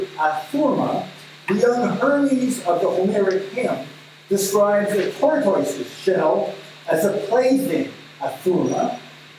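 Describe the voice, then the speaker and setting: A man with a high pitch and lively intonation talks at a fairly slow pace, with strong room echo and light background noise. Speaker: speaker reading a scholarly text aloud. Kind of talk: academic reading. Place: meeting room.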